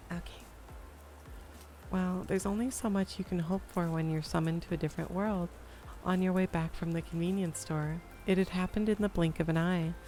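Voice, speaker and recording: Over music in the background, the speech moves at a fairly quick pace with fairly even intonation and long, frequent pauses. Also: woman, fairly low pitch for a woman. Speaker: VTuber streamer. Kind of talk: light novel read aloud on stream. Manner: soft ASMR voice.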